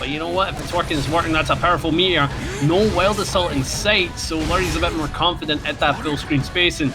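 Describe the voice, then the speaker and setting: A man talks at a fairly quick pace with ordinary pitch variation. Music plays in the background, and room echo is audible. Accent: Scottish. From Scotland. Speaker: esports commentator. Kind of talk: live commentary. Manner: animated.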